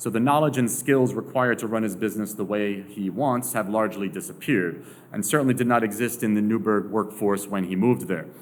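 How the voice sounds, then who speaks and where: Very fast speech from a man at a fairly low pitch, ordinary pitch variation, and audible room echo. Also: hardly any pauses. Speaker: sociologist. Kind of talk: lecture.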